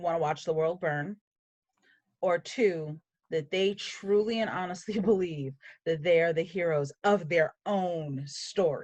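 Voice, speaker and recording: A plain, everyday voice from a woman, fairly low in pitch, with ordinary pitch variation. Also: fairly slow pace. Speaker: writing podcast co-host and novelist. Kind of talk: casual chat.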